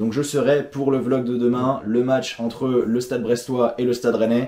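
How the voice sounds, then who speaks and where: Fairly slow and monotone, a man speaks at a medium pitch in a dark, mellow tone with flat intonation. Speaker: football vlogger. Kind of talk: casual chat.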